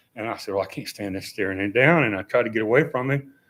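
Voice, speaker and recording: A man with an Appalachian accent at a very fast pace, on a very clean recording with a silent background. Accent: Appalachian Southern US. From western North Carolina. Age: 70s. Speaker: member of the public speaking at a council meeting. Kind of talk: public comment. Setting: town council meeting.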